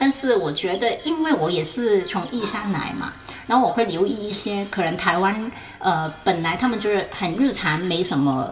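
A woman with a Hong Kong accent speaks at a medium pitch and moderate pace with lively intonation. Noticeable background noise and audible room echo fill the recording. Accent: Hong Kong accent in Mandarin. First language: Cantonese (speaking Chinese). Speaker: photographer. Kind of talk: casual interview.

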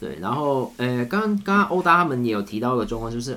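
This man's medium-pitched voice has a bright, sharp tone, very wide pitch swings and a very fast pace. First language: Cantonese (speaking Chinese). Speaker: camera operator. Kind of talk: casual chat.

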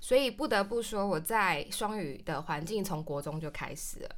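A woman of medium pitch at a moderate pace. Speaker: traveler, cram school teacher. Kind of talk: interview chat.

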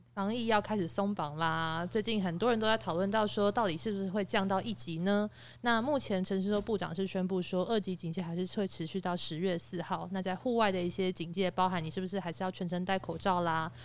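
Here a woman talks at a medium pitch and fairly quick pace, with hardly any pauses. Hers is an ordinary speaking voice, with ordinary pitch variation. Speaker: podcast panelist. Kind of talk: casual chat.

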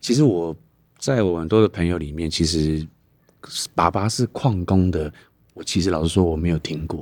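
On a very clean recording with a silent background, a man with a very deep, low pitch speaks at a moderate pace with ordinary pitch variation and long, frequent pauses. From Taitung, Taiwan. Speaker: podcast host, taxi driver. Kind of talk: casual chat. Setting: in a car.

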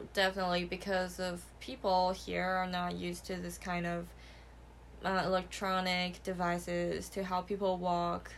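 Someone with a Mandarin accent speaks at a fairly slow pace. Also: woman. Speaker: podcast co-host. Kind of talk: casual chat.

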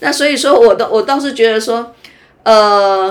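Speaking at a moderate pace, a woman has an unremarkable speaking voice. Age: 60s. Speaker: university professor. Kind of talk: casual interview chat. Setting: recorded during beauty appointment.

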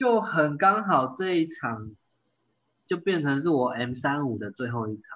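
A man with a Taiwanese accent speaks at a fairly slow pace and a fairly high pitch. His pitch swings very widely, and his loudness shifts a lot. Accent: Taiwanese Mandarin. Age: 30s. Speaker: amateur triathlete. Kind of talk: casual interview chat.

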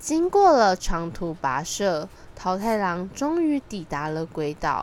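A woman at a fairly low pitch, slightly mellow in tone, with big pitch swings and a fairly slow pace

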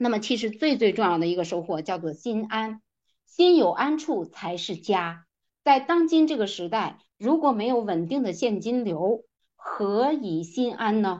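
Against a quiet background, a woman speaks fairly slowly in a fairly high voice. Her pitch swings very widely. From rural China. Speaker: direct-selling business leader. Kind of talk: motivational lecture.

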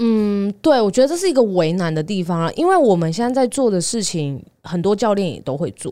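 A woman with a Taiwanese accent talks at a fairly quick pace, medium in pitch and dark, mellow in tone. Her pitch swings very widely on a very clean recording with a silent background. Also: hardly any pauses. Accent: Taiwanese Mandarin. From Taiwan, Taipei. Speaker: dietitian. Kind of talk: casual chat.

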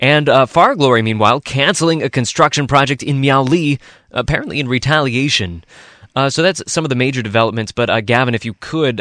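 Recorded dry and close with no echo over a quiet background, a man talks at a fairly quick pace in an ordinary speaking voice. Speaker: radio news host. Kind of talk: news discussion. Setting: studio.

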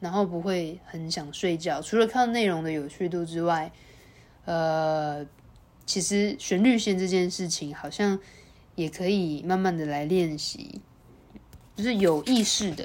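With ordinary pitch variation, the talking moves at a fairly slow pace. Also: woman, fairly low pitch for a woman. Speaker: wine podcast host and wine instructor. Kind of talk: solo casual monologue. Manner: laid-back, lazy murmuring delivery.

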